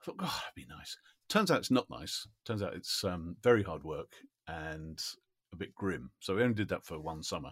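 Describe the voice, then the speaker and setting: A man speaks at a moderate pace with a southern English accent. The sound is dry and close with no echo, and his loudness swings widely. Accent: southern English, RP-like. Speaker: voice-over actor and musician. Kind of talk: casual chat.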